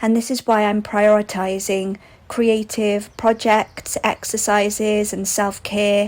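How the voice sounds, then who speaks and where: Very slowly and with monotone, flat intonation, a woman speaks in a Welsh accent at a fairly high pitch. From Wales. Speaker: vlogger. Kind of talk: casual vlog narration. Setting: outdoors on a walk.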